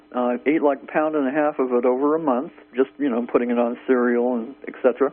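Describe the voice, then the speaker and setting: A man talks fairly quickly, his pitch varying in an ordinary way, against noticeable background noise. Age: 60s. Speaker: caller. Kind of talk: radio call-in question.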